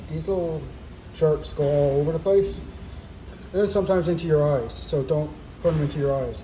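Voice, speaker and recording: Background noise can be clearly heard. The talking goes along fairly quickly. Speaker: cosplay prop maker. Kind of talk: tutorial. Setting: outdoors. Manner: casual, hesitant with fillers; loud, yelling.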